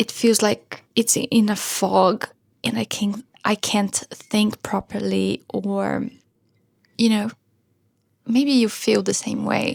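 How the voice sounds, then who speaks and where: A soft-spoken woman at a very slow pace, with long, frequent pauses and a dry, close sound with no echo. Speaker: vlogger and musician. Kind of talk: casual vlog talk. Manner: soft-spoken, quiet.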